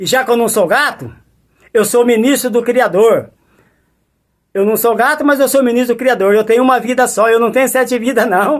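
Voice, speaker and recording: This man speaks with an extremely high pitch and an animated tone at a moderate pace, his loudness very even and his pauses long and frequent. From Brazil, Mato Grosso do Sul (Campo Grande). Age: 60s. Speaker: preacher. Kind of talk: testimony.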